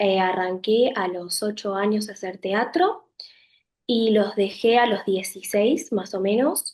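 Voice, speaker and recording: Very slow and at medium pitch, a woman speaks with ordinary pitch variation. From Buenos Aires province, Argentina. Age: 20s. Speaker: acting student. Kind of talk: self-introduction on camera.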